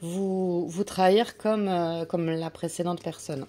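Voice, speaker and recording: With a dark, mellow tone and fairly low pitch, a woman talks at a fairly slow pace in a monotone, flat intonation. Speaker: tarot and oracle card reader. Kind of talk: oracle card reading guidance. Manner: hesitant, many fillers.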